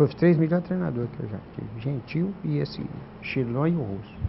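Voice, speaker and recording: With very wide pitch swings and a somewhat breathy sound, a man talks at a moderate pace. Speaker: former amateur footballer. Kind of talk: interview. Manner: halting.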